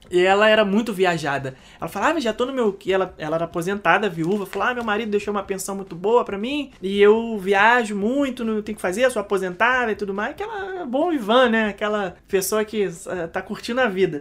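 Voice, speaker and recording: Over noticeable background noise, a woman with a medium pitch talks at a fairly quick pace with hardly any pauses and ordinary pitch variation. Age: 30s. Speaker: podcast co-host, travel business owner. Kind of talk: casual chat.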